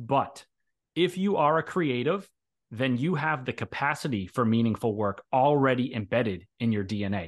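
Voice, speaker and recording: Set against a quiet background, a man speaks in an ordinary speaking voice at medium pitch, moving at a moderate pace with lively intonation. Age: 30s. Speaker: author and software developer. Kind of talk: interview, casual chat.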